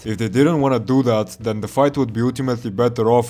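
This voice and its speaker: Medium-pitched male speech at a fairly quick pace with fairly even intonation, with music in the background. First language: not English. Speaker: video game reviewer. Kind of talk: scripted narration.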